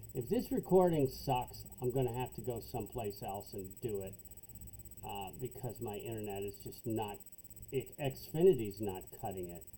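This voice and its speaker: A man with a fairly low pitch and vocal fry talks at a moderate pace, with lively intonation and big swings in loudness. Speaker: accounting instructor. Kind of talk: tutorial. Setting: home basement.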